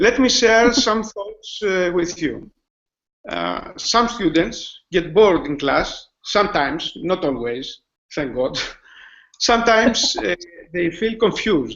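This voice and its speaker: A man with a Greek accent and a high pitch, talking at a very slow pace with very wide pitch swings. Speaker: school IT manager and teacher. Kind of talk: webinar presentation. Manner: halting, many fillers.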